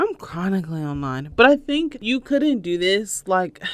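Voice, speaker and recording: A woman speaks with a Southern US accent. Her pitch swings very widely. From US South, North Carolina. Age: 30s. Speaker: podcast host. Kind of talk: casual solo podcast talk. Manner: many fillers like um, uh, and so; audible deep breaths, huffing on mic.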